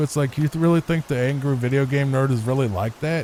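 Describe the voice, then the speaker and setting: This man has a plain, everyday voice, medium in pitch, with ordinary pitch variation. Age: 30s. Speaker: gaming YouTuber. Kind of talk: casual chat. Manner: soft-spoken; calm.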